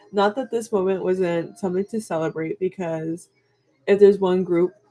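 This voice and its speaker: Over music in the background, a woman talks at medium pitch. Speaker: K-pop reaction vlogger. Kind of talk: casual vlog monologue. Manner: hesitant, many fillers.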